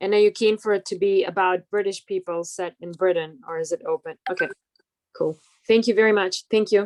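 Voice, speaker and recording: Heard dry and close with no echo, a woman speaks fairly quickly with a non-native accent. Her medium pitch carries fairly even intonation. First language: not English. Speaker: playwright. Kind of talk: Zoom Q&A question. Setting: video call.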